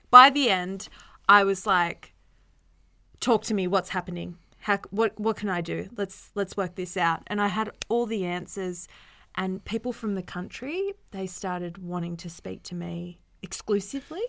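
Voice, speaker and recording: In a New South Wales accent, a woman talks at a moderate pace with medium pitch, ordinary pitch variation, a bright, sharp tone and big swings in loudness, on a very clean recording with a silent background. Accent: Newcastle (Australian) accent, noticeable. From Newcastle, Australia. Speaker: podcast co-host. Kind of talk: casual chat.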